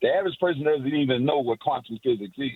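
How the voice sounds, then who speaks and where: In an American accent, a man talks with a fairly high pitch. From Miami, Florida. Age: 60s. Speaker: caller. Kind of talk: call-in talk radio chat. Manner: rambling, long-winded.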